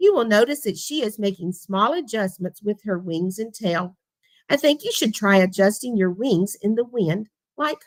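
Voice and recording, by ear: The intonation is lively as the text is read aloud in a natural voice. Nothing much stirs in the background.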